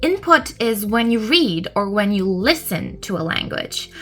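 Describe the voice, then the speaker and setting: With an English accent, a woman speaks at a fairly slow pace and a fairly high pitch while music plays in the background. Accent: good English accent, own view. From Turkey, raised bilingual. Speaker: English tutor. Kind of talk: educational podcast monologue. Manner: frequent um and uh fillers.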